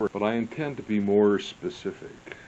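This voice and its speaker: Here is a man with an American accent and a normal speaking voice. His pitch sits fairly low, with ordinary pitch variation. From US Midwest, St. Louis. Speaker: history vlogger. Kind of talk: casual monologue.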